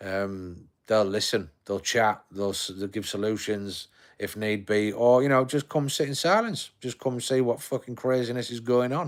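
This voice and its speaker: Here a man talks at a medium pitch and a moderate pace. He leaves hardly any pauses and uses ordinary pitch variation. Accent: Yorkshire. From Yorkshire, northern England. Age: 40s. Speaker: live streamer. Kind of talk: casual chat. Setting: home living room. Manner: halting.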